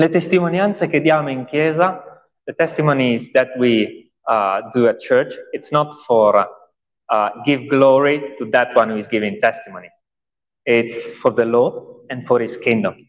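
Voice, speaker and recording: With lively intonation and a fairly high pitch, a man speaks at a very slow pace. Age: 30s. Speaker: pastor. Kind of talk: testimony. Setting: church.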